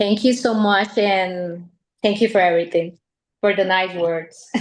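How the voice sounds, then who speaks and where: A woman with a strong Colombian accent, fairly even intonation and a fairly slow pace. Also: medium pitch for a woman. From Colombia (Medellín region, paisa). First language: Spanish. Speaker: dating agency member. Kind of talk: live webcast interview.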